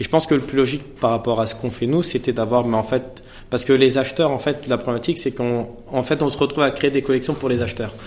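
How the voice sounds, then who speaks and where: This man talks at a very fast pace and medium pitch. His intonation stays fairly even. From Paris suburbs (Seine-Saint-Denis), France. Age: 30s. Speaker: fashion brand founder. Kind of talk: masterclass interview before a live audience. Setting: stage with audience.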